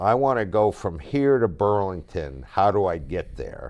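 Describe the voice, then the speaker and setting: A man with a plain, everyday voice, fairly low pitch, lively intonation and a fairly slow pace against a quiet background. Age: 60s. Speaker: podcast host. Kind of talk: casual chat.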